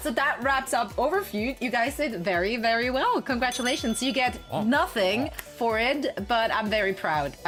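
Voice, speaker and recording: Over music in the background, a woman with a European accent talks at a high pitch with lively intonation. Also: moderate pace, very even loudness. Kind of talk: casual streamer hosting a game show.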